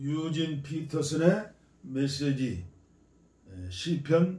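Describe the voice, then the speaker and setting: There is a somewhat breathy quality to the voice. Its delivery is very slow. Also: man. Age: 70s. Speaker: pastor. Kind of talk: scripture reading.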